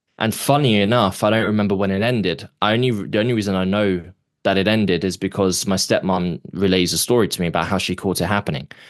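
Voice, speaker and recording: Over a quiet background, a man with a London accent talks very fast at a fairly low pitch, keeping his loudness very even. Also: ordinary pitch variation. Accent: British (London). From London, England. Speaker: actor and author, abuse survivor. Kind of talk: podcast interview, personal testimony. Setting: podcast interview.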